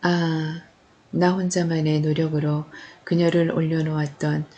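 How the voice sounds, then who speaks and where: A woman's very deep, low voice, monotone and flat, at a very slow pace. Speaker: audiobook narrator. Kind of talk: novel reading.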